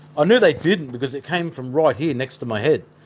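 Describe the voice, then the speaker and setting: Noticeable background noise accompanies a man with an Australian accent. He speaks at a fairly quick pace with lively intonation. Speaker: paranormal investigator. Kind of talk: live stream chat. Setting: live stream. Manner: fast.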